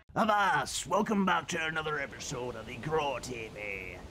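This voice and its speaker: Clear background noise sits behind a man doing a put-on character voice. His pitch is fairly high and his pace is moderate. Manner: strained.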